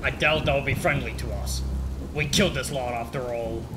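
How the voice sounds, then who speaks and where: Over loud background noise, a man performs a put-on character voice at a moderate pace. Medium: machinima. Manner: brash, defiant.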